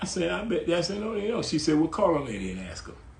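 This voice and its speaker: A man with vocal fry at a fairly quick pace, with audible room echo. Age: 80s+. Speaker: writer. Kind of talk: casual chat. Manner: animated.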